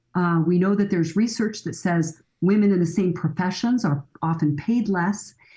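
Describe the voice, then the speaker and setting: A woman's fairly low, dark, mellow voice, somewhat breathy, at a moderate pace with very even loudness. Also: ordinary pitch variation. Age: 60s. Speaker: family counselor and author. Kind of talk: podcast interview.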